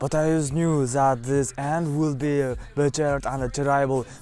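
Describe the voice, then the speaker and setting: With music playing in the background, a man speaks in a fairly high pitch with a non-native accent. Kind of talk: personal story told to camera. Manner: hesitant, halting.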